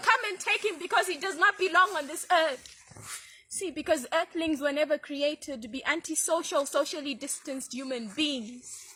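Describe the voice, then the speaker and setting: Over noticeable background noise, a woman speaks in a raised, projected voice at a moderate pace, with very wide pitch swings and big swings in loudness. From Zimbabwe. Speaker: poet, spoken word artist. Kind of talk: spoken word poetry performance.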